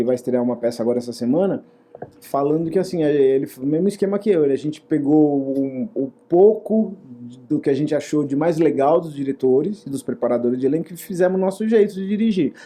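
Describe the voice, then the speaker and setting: Over noticeable background noise, the speech rises and falls with lively intonation. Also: man, fairly high pitch for a man, fairly quick pace. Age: 60s. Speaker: actor and theater director. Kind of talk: interview. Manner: hesitant with repetitions.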